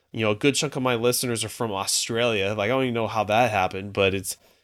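In a very clean recording with a silent background, a man with an unremarkable speaking voice talks at medium pitch with fairly even intonation. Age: 40s. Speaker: personal trainer and fitness podcaster. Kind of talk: casual interview chat.

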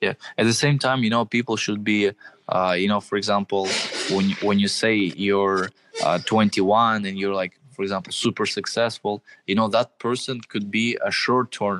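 A man speaks at a moderate pace with a Russian accent. His pitch is fairly low and his intonation fairly even. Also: dry, close sound with no echo. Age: 20s. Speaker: social media marketing entrepreneur. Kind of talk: interview.

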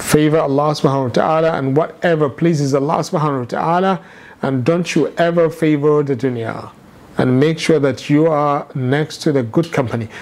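At a fairly quick pace with fairly even intonation comes an ordinary speaking voice. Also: man, fairly high pitch for a man. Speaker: Islamic teacher. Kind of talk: lecture.

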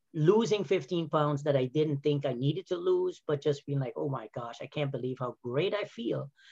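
A man talks with a fairly high pitch and a somewhat breathy voice. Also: dry, close sound with no echo. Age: 50s. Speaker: health and wellness coach, former physical therapist. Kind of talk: casual interview. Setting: video call.

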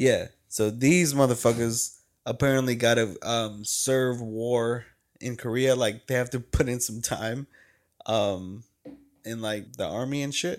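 A man with an unremarkable speaking voice, medium pitch, fairly even intonation and a fairly slow pace, in a very clean recording with a silent background. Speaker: podcast co-host. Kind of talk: casual chat.

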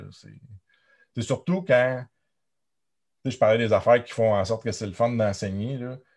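A man's medium-pitched voice at a very slow pace, with long, frequent pauses, ordinary pitch variation, big swings in loudness and a quiet background. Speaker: university lecturer. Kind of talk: interview.

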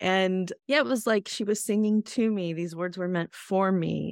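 A woman with a plain, everyday voice, pitched in the medium range with ordinary pitch variation. She talks at a fairly slow pace in a dry, close recording with no echo. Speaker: podcast co-founder and host. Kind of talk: casual chat, personal storytelling.

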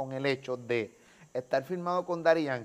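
Speaking at a moderate pace, a man uses an unremarkable speaking voice with ordinary pitch variation. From Puerto Rico (Carolina). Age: 40s. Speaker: YouTube interviewer. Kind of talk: casual interview. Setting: on location outside the studio.

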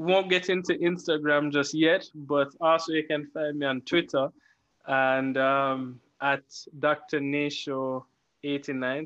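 Speaking with a Jamaican accent, a man uses a fairly high pitch. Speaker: podcast co-host. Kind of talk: casual chat. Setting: video call. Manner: clipped words, eats words.

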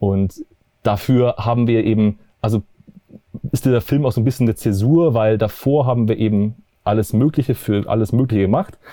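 Leaving long, frequent pauses, a man with a dark, mellow tone and a medium pitch speaks at very even loudness with ordinary pitch variation. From Bavaria, near Munich. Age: 30s. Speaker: documentary filmmaker. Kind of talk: interview. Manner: halting, many fillers.

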